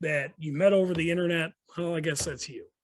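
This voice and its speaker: With an American accent, a man talks with ordinary pitch variation. The recording is very clean, with a silent background. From Chicago, Rogers Park. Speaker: motorcycle club president. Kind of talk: casual podcast chat. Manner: animated.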